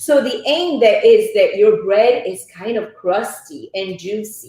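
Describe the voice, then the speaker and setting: An Italian accent with very wide pitch swings at a fairly slow pace. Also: woman. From Italy. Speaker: cooking instructor. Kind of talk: cooking demonstration.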